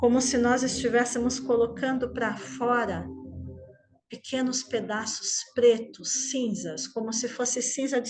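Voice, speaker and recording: Over noticeable background noise, a woman talks at a fairly slow pace in a soothing tone. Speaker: meditation teacher. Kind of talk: guided meditation. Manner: slow, soothing.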